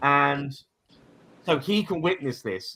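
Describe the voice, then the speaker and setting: With an English accent, a man speaks in a raised, projected voice. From England. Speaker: paranormal YouTuber. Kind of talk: casual chat. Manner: halting, repeats words.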